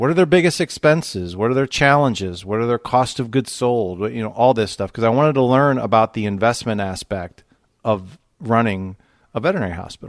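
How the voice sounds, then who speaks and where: With a Midwestern American accent, a man at medium pitch speaks with lively intonation over a very clean, silent background. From US Midwest, Toledo, Ohio. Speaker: financial advisor. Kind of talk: interview.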